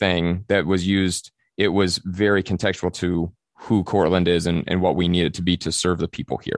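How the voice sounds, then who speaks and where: Deep and very low, a man's voice moves at a moderate pace. The recording is dry and close, with no echo. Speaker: pastor. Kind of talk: casual chat.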